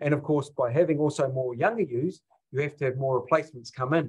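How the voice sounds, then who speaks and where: A man with a New Zealand accent speaks at a fairly quick pace. His voice is somewhat breathy, with ordinary pitch variation. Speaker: sheep husbandry professor. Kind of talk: webinar lecture.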